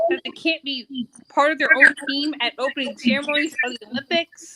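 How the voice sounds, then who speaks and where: A woman with an American accent speaks in a high, raised, projected voice. Her tone is bright and sharp, and the sound is dry and close with no echo. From USA. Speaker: athlete. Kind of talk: casual chat.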